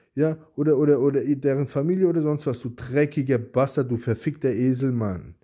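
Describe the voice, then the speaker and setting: A man's fairly high-pitched voice with a dark, mellow tone at a moderate pace, hardly any pauses, and a quiet background. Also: ordinary pitch variation. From Germany. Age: 40s. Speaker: YouTuber. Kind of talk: angry response video rant. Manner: agitated, insulting; repetitive, stammering restarts. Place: home room. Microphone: phone near.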